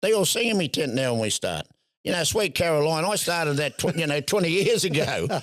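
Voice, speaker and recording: A strong Australian accent comes through at a fairly quick pace with lively intonation on a very clean recording with a silent background. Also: man. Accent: broad Australian. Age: 70s. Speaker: tent boxing promoter and showman. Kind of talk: podcast interview. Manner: halting, repeats words.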